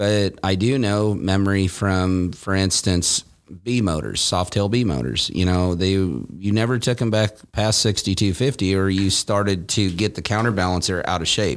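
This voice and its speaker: A man with a normal speaking voice, fairly low in pitch, speaks at a moderate pace with ordinary pitch variation, very even loudness and hardly any pauses on a very clean recording with a silent background. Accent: American. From Nebraska, US Midwest. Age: 40s. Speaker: motorcycle performance shop owner. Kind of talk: casual chat. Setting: studio.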